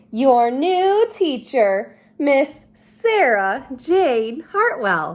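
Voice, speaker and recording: A woman's high-pitched put-on character voice, very slow yet with hardly any pauses, in very wide pitch swings. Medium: read story.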